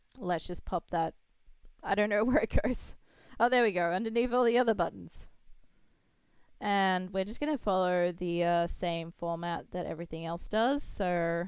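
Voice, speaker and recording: On a very clean recording with a silent background, a woman with an Australian accent talks at a moderate pace and medium pitch, with ordinary pitch variation and long, frequent pauses. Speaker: game developer streamer. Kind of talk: live coding stream. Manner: casual, thinking aloud.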